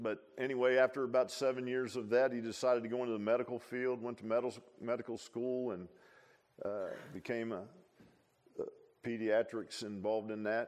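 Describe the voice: A man speaks at a moderate pace in a medium pitch, his tone slightly mellow and his pitch moving little.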